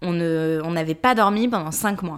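A woman with an ordinary speaking voice, ordinary pitch variation, and a fairly slow pace. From Paris, France. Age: 30s. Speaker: podcast co-host and press officer. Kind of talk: casual chat.

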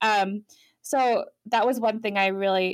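A woman speaks in an unremarkable speaking voice at a medium pitch with fairly even intonation, on a very clean recording with a silent background. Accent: American. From Europe (France, Ireland, Germany), American family. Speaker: tattoo artist and shop owner. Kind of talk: interview.

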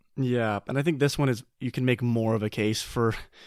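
A man with an unremarkable speaking voice talks at a moderate pace with a medium pitch and ordinary pitch variation, in a very clean recording with a silent background and a dry, close sound with no echo. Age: 20s. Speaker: board game podcast co-host. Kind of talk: casual chat. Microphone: new microphone.

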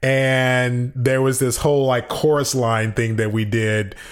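A man with an American accent talks at a fairly slow pace in an animated tone, with ordinary pitch variation. Noticeable background noise runs under his voice. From US, Chicago then San Francisco Bay Area. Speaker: actor. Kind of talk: casual interview. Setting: living room of a rental apartment. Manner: animated, high energy. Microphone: slight room echo.

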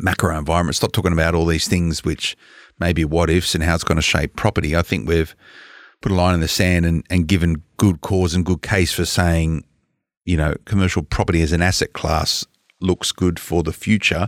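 With an Australian accent, a man speaks at a very deep, low pitch and a fairly quick pace, his loudness very even. The recording is very clean, with a silent background and a dry, close sound with no echo. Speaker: podcast co-host. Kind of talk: casual chat.

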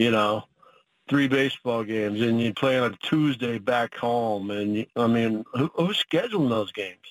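The speaker has a plain, everyday voice with an American accent. The pace is moderate and the pitch variation ordinary. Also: man, medium pitch for a man. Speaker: college football head coach. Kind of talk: casual interview.

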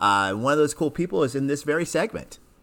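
In a plain, everyday voice, a man speaks at medium pitch with lively intonation on a very clean recording with a silent background. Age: 40s. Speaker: podcast host. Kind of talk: casual interview.

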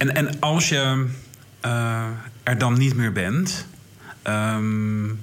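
A man speaks at a very slow pace and a medium pitch, his loudness very even, with long, frequent pauses and noticeable background noise. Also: ordinary pitch variation. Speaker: podcast interviewer. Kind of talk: casual interview chat. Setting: theater, in person.

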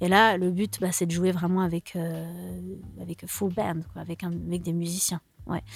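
A woman with a normal speaking voice talks at a moderate pace, her pitch fairly low and her intonation fairly even. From Switzerland, Lausanne. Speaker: singer-songwriter. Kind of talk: radio interview.

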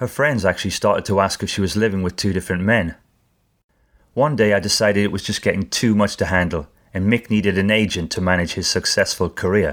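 A man's fairly low voice at a very fast pace, with ordinary pitch variation, in a very clean recording against a silent background. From northern England, Newcastle. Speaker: branding expert and podcaster. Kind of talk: storytelling monologue.

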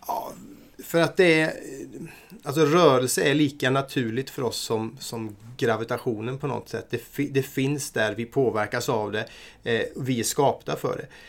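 A man in an unremarkable speaking voice at a moderate pace, medium in pitch, with ordinary pitch variation. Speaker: martial arts program coordinator. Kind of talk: casual chat.

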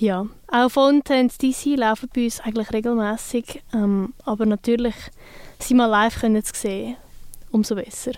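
A woman with a plain, everyday voice keeps a fairly high pitch, fairly even intonation and a moderate pace. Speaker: radio host. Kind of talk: casual chat.

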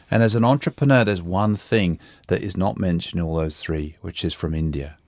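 Recorded very cleanly against a silent background, a man with a London accent and a very deep, low voice sounds dry and close, with no echo. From England, London. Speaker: coach and author. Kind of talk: interview. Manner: reflective.

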